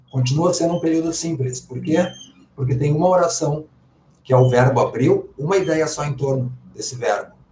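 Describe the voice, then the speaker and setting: This man's voice sits fairly high in pitch, with a dark, mellow tone and a somewhat breathy quality. He talks at a moderate pace with ordinary pitch variation. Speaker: Portuguese language teacher. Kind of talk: live online class. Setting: livestream.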